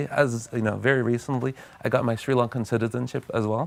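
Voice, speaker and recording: Speaking very fast in a Californian accent, a man holds a medium pitch with monotone, flat intonation. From US, California. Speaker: tech company CEO. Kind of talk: TV interview.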